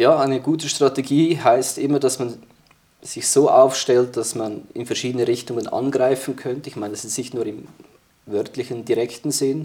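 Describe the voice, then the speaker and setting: A man with a normal speaking voice talks at a moderate pace in a medium pitch, his intonation fairly even while his loudness swings widely. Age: 30s. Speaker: military historian and security policy expert. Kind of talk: interview discussion.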